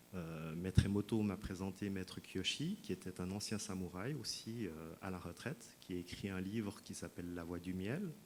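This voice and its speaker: A man with a Swiss accent, very deep and low in pitch, at a moderate pace. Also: ordinary pitch variation, hardly any pauses. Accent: Swiss French, noticeable. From Switzerland. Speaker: sound healing practitioner, speaker at wellness fair. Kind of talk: talk to an audience. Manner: hesitant, many fillers.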